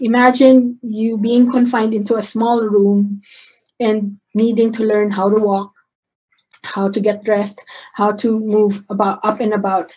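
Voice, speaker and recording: Somewhat breathy and dark, mellow in tone, a woman speaks at a fairly slow pace and fairly high pitch with monotone, flat intonation. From Philippines (Manila). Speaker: physician; presenter. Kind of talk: lecture. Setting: video call. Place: home room. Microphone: video call.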